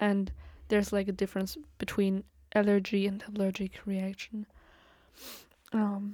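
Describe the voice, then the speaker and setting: With a medium pitch and a dark, mellow tone, a woman speaks at a moderate pace. Her intonation is monotone and flat. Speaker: podcaster. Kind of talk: casual solo rambling. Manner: rambling, filler-heavy, laughs often.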